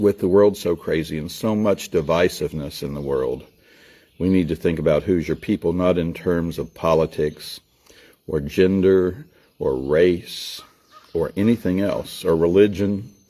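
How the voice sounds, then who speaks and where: A man's very deep, low voice, dark and mellow, in a Southern US accent, at a fairly slow pace with ordinary pitch variation. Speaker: storyteller. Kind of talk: casual talk to camera. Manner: folksy, warm.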